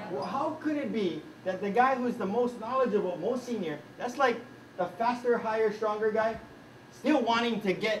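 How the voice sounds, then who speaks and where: The voice has a Hawaiian accent and an animated tone. Noticeable background noise is present. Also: man. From Hawaii, Kaneohe. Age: 40s. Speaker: coach and trainer. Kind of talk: workshop talk.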